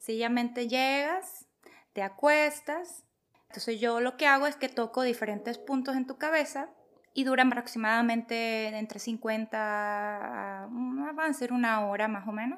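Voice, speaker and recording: A woman speaks in a high pitch at a fairly slow pace. Her pitch varies in an ordinary way. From Venezuela. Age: 40s. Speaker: holistic therapist. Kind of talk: casual chat.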